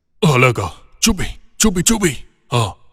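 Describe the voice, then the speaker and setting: Using a put-on character voice, a man speaks at a fairly high pitch with very wide pitch swings. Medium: fan dub. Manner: brusque, commanding.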